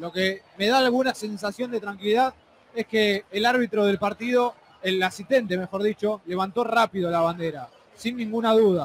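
A man speaks in an excited tone at a high pitch and a moderate pace. His pitch variation is ordinary, and there is noticeable background noise. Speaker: football commentator. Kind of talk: live football commentary with analysis. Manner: excited, emphatic.

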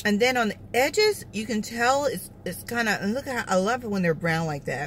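A woman's voice swings very widely in pitch. The sound is dry with no echo, over light background noise. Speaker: food vlogger. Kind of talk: casual mukbang review chat. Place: car. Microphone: phone near.

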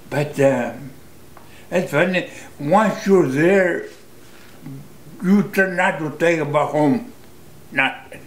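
With an American accent and lively intonation, a man speaks at a high pitch and a very slow pace, leaving long, frequent pauses. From United States. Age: 80s+. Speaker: war veteran. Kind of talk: interview answer. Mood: reflective, emotional. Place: home room.

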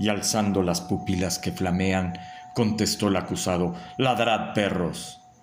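The text is read in an unforced voice.

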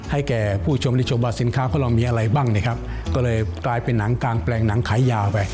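Clear music plays in the background as a man speaks. His pitch is medium and his intonation fairly even. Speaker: outdoor cinema film dubber. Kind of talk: interview answer. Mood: warm, nostalgic. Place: home room.

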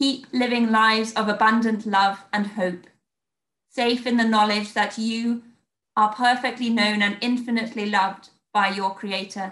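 With an English accent, a woman speaks at a fairly high pitch and a moderate pace in a monotone, flat delivery, with audible room echo over a quiet background. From England. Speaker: church minister. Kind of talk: sermon. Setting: video call. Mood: calm, warm, reflective. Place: home room. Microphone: webcam.

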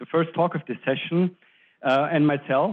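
The background is quiet as a man talks at a moderate pace. His intonation stays fairly even. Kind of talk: lecture. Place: hall. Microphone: handheld.

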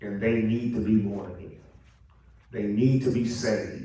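A man speaks in a somewhat breathy voice. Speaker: preacher. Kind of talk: sermon. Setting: church. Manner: animated, call-and-response preaching with rhetorical questions and repetition.

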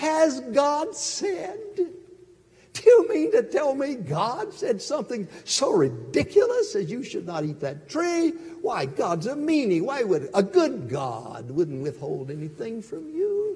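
A man in a put-on character voice, extremely high-pitched, at a fairly slow pace with hardly any pauses. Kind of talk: sermon. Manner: sly, persuasive, mocking.

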